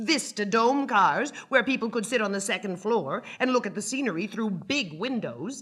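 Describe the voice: Here is plain reading aloud, with ordinary pitch variation.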